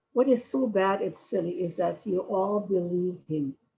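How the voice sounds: Natural voice, reading aloud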